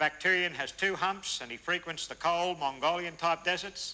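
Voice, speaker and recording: A man talks in a high pitch with an Australian accent. His tone is bright and sharp. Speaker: camel tour guide. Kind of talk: tour guide talk. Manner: loud; fast.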